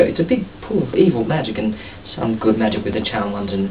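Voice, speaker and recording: A man speaks quietly at a fairly quick pace and a fairly low pitch. The recording has audible room echo and noticeable background noise. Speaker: video blogger. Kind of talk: comedic vlog monologue. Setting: outdoors on a balcony at night. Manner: quiet, hushed; animated.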